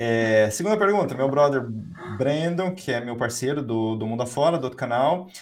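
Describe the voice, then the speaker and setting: A man speaks at a moderate pace. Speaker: podcast host. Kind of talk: interview. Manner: animated.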